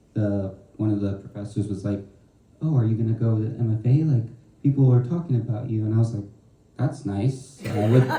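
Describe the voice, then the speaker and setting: Through noticeable background noise, a man speaks at a fairly quick pace and medium pitch with ordinary pitch variation. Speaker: student poet. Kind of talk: panel discussion.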